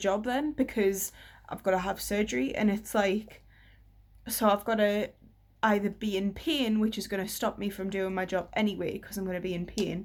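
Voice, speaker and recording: The recording is very clean, with a silent background. A woman of medium pitch speaks at a moderate pace with fairly even intonation. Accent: British. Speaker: vlogger. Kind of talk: personal vlog update.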